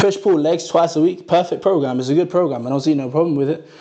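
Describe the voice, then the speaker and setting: Fairly quick speech from a man with a fairly high pitch, set against noticeable background noise. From Norway, Ghanaian family. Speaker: fitness content creator. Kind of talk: livestream Q&A. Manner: casual, relaxed.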